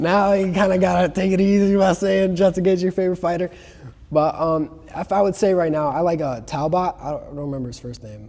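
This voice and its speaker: A dark, mellow voice with an American accent, at a fairly quick pace, with big swings in loudness and ordinary pitch variation. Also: man, high pitch for a man. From Chicago area, US Midwest. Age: 20s. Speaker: martial arts student. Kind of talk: casual chat.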